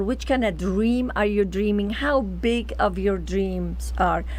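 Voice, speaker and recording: In a non-native accent, the speech unfolds rather slowly. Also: woman. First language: not English. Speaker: talk show host. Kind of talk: interview.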